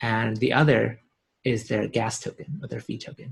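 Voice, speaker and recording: A somewhat breathy man's voice. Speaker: blockchain company CEO. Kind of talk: interview. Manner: fast.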